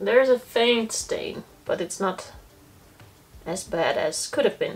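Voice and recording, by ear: A woman speaks at a slow pace with lively intonation. Her voice carries a slightly husky edge. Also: medium pitch for a woman.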